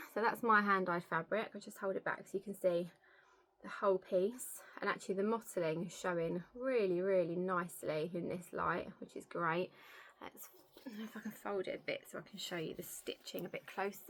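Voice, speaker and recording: With an English accent, a woman talks at a fairly quick pace and medium pitch, her intonation fairly even while her loudness swings widely. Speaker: cross-stitch vlogger. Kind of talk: casual show-and-tell vlog.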